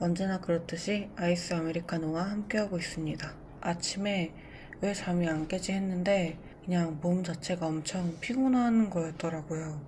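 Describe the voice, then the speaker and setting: At a moderate pace, a woman speaks in a fairly low, somewhat breathy voice with a dark, mellow tone and fairly even intonation, and audible room echo surrounds her. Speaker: diet vlogger. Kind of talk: vlog narration. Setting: at home in bed.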